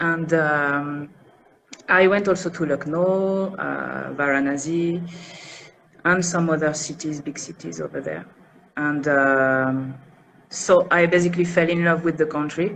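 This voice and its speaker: This woman has a French accent and a very deep, low pitch with fairly even intonation. She speaks at a fairly slow pace, with long, frequent pauses. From France, north of Paris. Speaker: interview guest, expat. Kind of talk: interview. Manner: soft pronunciation; hesitant, many fillers.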